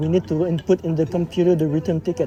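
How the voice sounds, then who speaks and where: A speaker with a Quebec accent talks at a fairly quick pace amid noticeable background noise. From Quebec, Montreal. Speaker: travel vlogger. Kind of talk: casual chat. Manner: halting.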